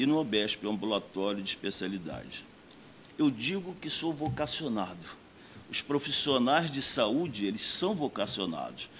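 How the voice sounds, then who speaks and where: This man talks at a fairly slow pace. His pitch swings very widely. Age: 60s. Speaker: doctor and mayoral candidate. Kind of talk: campaign speech.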